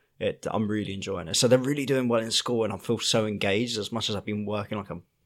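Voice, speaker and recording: Over a silent background in a very clean recording, a man talks at a fairly quick pace with fairly even intonation in a normal speaking voice. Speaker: podcast co-host, dad. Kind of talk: casual chat.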